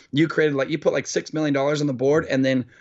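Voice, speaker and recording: Fairly even intonation marks this man's speech in a Californian accent. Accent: Californian American. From Orange County, California. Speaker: entrepreneur and event founder. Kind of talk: casual interview chat.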